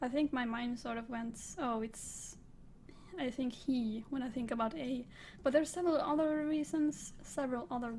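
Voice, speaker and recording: A woman with a high voice, ordinary pitch variation, a moderate pace and a non-native accent. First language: not English. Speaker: book reviewer. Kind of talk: casual monologue. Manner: halting.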